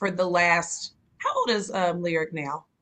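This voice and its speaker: In a Georgia accent, a woman speaks at a fairly slow pace with medium pitch, ordinary pitch variation and a bright, sharp tone. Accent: Columbus, Georgia dialect. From US South, Columbus, Georgia. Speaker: interviewer. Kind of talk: casual interview.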